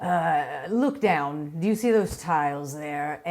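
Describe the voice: Gruff and middle-pitched, a put-on character voice moves at a fairly slow pace.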